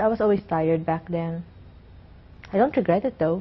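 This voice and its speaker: A somewhat breathy woman's voice. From Philippines. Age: 20s. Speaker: student and performer. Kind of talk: interview. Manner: halting.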